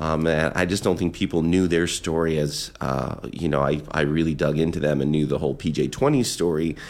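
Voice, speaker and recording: Vocal fry runs through this man's very deep, low voice. He hardly pauses, and his loudness stays very even. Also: moderate pace. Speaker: radio host. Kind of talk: radio DJ patter between songs, friendly and chatty. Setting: radio studio broadcast. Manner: upbeat, conversational, warmly enthusiastic.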